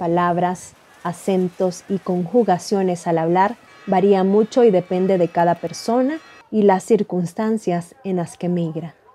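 With music in the background, the voice moves at a fairly slow pace with ordinary pitch variation. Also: woman. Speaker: news reporter. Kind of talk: news report narration.

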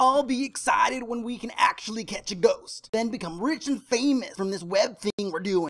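A cartoonish character voice runs at a moderate pace in a fairly high pitch, with hardly any pauses. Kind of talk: comic cartoon acting. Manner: snarky, dismissive.

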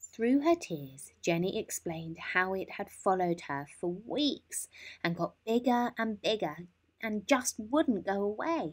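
A woman speaks slowly at a medium pitch. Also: lively intonation.

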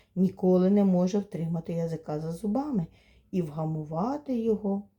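With ordinary pitch variation, the delivery is plain reading aloud.

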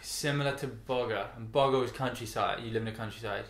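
A man with a British accent talks at a fairly quick pace. Audible room echo surrounds his voice. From Britain. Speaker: guest youtuber. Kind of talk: casual conversation. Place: home room.

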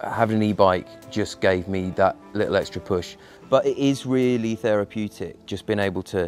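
A man's fairly low voice with fairly even intonation at a moderate pace, dry with no echo, faint music in the background. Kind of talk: interview answer. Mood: relaxed, reflective. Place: garden.

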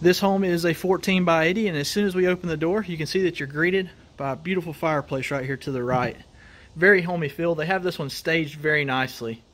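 A man's high voice in a Southern US accent, at a very fast pace with hardly any pauses and ordinary pitch variation. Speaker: mobile home tour video host. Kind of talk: home tour walkthrough. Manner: enthusiastic. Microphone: phone near.

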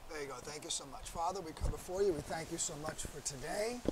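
Light background noise sits behind a high-pitched man who speaks with ordinary pitch variation. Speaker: Bible teacher. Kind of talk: Bible teaching lecture.

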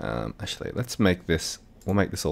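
A man with an Australian accent talks at a fairly quick pace with lively intonation. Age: 30s. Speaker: video editing tutor. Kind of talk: tutorial. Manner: casual, hesitant with fillers.

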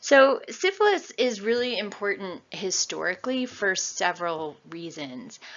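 With hardly any pauses, a woman with an American accent speaks in very wide pitch swings. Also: medium pitch for a woman. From New York State. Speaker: lecturer. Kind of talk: lecture. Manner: casual.

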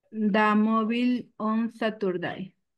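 A woman speaks very slowly in a Spanish accent. Her intonation is fairly even, and the background is quiet. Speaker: English student. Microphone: video call.

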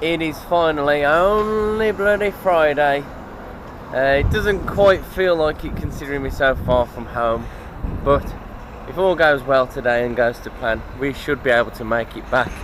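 A man speaks fairly slowly in a dry sound with no echo, with noticeable background noise. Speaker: truck driver vlogger. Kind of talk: casual vlog chat. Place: street. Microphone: phone near.

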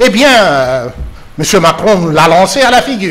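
Very wide pitch swings run through the voice. It is a man talking. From DR Congo. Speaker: professor. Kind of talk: political panel discussion. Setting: TV studio. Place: studio.

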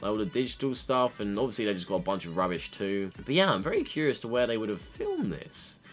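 With faint music in the background, a man with a fairly low pitch talks at a very fast pace and lively intonation, hardly pausing at all. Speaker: YouTuber, K-pop reactor. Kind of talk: casual reaction commentary. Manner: fast-talking. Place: home room. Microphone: webcam.

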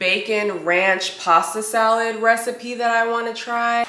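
Noticeable noise fills the background while a woman speaks rather slowly. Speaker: lifestyle vlogger. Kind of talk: casual vlog chat. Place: kitchen. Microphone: camera far.

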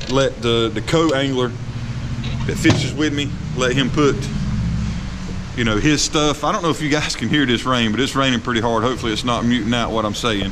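The pitch rises and falls in an ordinary way. The pace is fairly quick, with noticeable background noise. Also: man. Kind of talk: casual walkthrough tour. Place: garage. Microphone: phone near.

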